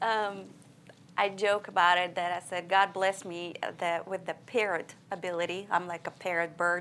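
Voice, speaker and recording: A woman's fairly low, bright, sharp voice in a monotone, flat intonation at a moderate pace. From Siberia, Russia. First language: Russian. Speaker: preacher's wife, church member. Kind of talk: church interview.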